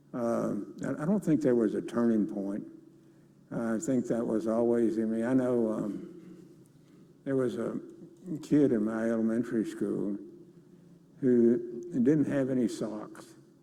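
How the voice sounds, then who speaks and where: There is audible room echo as a man speaks with a Texan accent at medium pitch. His pitch varies in an ordinary way, with long, frequent pauses. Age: 80s+. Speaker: business leader. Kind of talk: interview on stage. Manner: halting.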